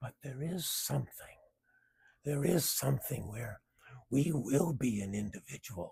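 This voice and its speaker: With vocal fry and lively intonation, a man speaks fairly slowly at medium pitch, leaving long, frequent pauses. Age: 70s. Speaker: video blogger sharing cancer story. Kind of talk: personal reflective monologue.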